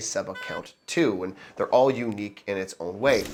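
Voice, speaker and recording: The talking proceeds at a moderate pace. Behind it, music can be heard. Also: man. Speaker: mortgage broker. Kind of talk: casual talk to camera. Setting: scratchy microphone audio.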